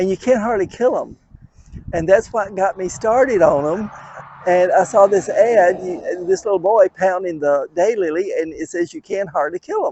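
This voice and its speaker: Over noticeable background noise, a man with a Southern US accent speaks at a moderate pace and a high pitch. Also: ordinary pitch variation. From US South, west Tennessee. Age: 70s. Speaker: daylily breeder. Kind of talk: casual chat.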